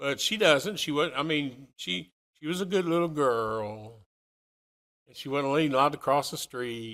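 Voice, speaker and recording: A man with fairly high pitch and a bright, sharp tone speaks slowly, with lively intonation and big swings in loudness. The recording is very clean, with a silent background. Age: 60s. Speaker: preacher. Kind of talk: sermon.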